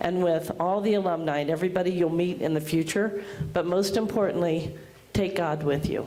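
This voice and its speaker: Noticeable background noise and audible room echo surround a woman's voice. She speaks at a fairly low pitch with ordinary pitch variation. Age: 60s. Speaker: school principal. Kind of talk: commencement speech. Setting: graduation ceremony with audience.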